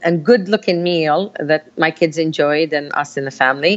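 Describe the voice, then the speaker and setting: A woman speaks at a moderate pace with a Palestinian accent. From Palestine, village. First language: Arabic. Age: 50s. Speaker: community activist. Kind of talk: interview. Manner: animated.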